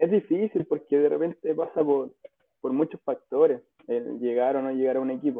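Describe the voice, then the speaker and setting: A man with a Chilean accent talks at a fairly slow pace. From Chile, Rancagua. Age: 20s. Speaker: professional footballer. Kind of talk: casual interview.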